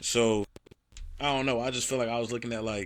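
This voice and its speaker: At a fairly quick pace, a man speaks with monotone, flat intonation and a medium pitch on a very clean recording with a silent background. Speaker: sports podcast co-host. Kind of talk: casual chat.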